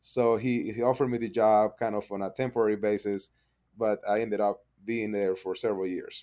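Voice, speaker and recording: A man with a fairly low voice and a dark, mellow tone speaks at a fairly quick pace. His intonation is monotone and flat. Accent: Spanish. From Panama. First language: Spanish. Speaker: pond contractor, business owner. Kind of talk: interview.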